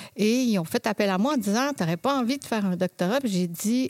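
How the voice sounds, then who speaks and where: A woman speaks in a Quebec accent at a fairly high pitch with ordinary pitch variation. The sound is dry and close, with no echo. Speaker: occupational therapist and professor. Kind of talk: interview.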